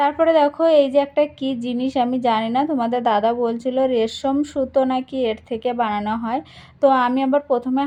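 Against a quiet background, a woman with a Sundarbans accent speaks at a high pitch in a dark, mellow tone with fairly even intonation. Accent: Sundarbans village Bengali. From Sundarbans, West Bengal. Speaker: village lifestyle vlogger. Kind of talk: casual vlog narration.

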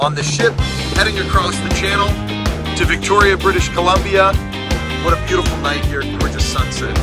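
Loud music plays in the background. A man speaks over it at a fairly quick pace. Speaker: travel vlogger. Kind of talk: casual vlog chat. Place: boat. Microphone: phone near.

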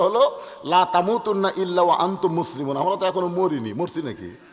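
A high-pitched male voice over noticeable background noise. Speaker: Islamic preacher. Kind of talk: sermon.

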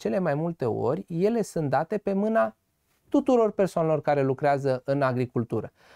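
Against a quiet background, a man with an unremarkable speaking voice talks at a moderate pace with lively intonation, the sound dry with no echo. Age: 20s. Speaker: farmer and agronomist; guest. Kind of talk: TV interview. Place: studio.

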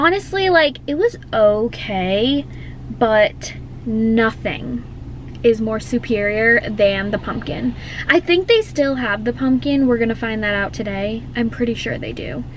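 A woman talks at a fairly slow pace. The sound is dry with no echo, over light background noise. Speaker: hairstylist vlogger. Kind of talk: casual vlog chat. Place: car. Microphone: phone near.

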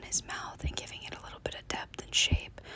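Whispered words from a woman, noticeable background noise behind them. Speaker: nail artist. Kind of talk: ASMR nail tutorial. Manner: whispered, soft-spoken.

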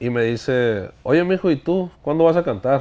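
The man's intonation is lively and his pitch fairly high. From Sonora, Mexico (Hornos, Yaqui); Sonora, Mexico. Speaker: regional Mexican singer; interview guest. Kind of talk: casual interview. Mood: relaxed storytelling, fond anecdotes. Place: studio.

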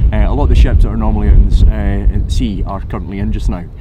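Loud background noise accompanies a man talking very fast. The sound itself is dry, without echo. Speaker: tour guide vlogger. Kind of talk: casual vlog chat. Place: waterside. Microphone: phone near.

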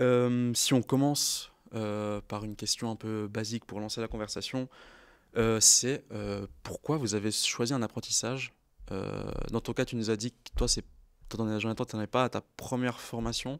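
Speaking at a fairly slow pace, a man holds a medium pitch with monotone, flat intonation on a very clean recording with a silent background. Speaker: apprentice media designer, co-host. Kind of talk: casual chat.

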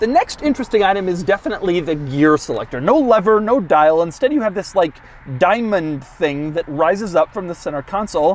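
The pace is fairly quick. The sound is dry, with no echo. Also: man. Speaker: car reviewer. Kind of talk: car review commentary. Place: car. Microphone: lapel.

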